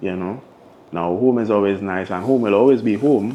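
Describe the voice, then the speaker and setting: A man with a Trinidadian accent, fairly low in pitch, with ordinary pitch variation. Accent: Trinidad and Tobago English. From Tobago. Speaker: DJ. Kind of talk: interview answer. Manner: casual.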